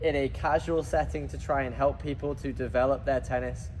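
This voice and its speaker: Speaking with a British accent, this man keeps a moderate pace. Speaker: tennis podcast co-host, tennis coach. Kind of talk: casual chat.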